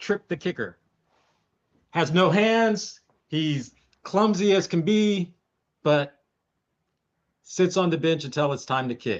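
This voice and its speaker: Speaking at a very slow pace with long, frequent pauses, a man uses a high pitch and lively intonation. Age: 50s. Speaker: podcast co-host. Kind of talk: casual chat.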